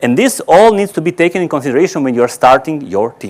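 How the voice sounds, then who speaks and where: A man talks with a fairly high pitch. His pitch swings very widely. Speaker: conference speaker on automation. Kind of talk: conference presentation. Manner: fast.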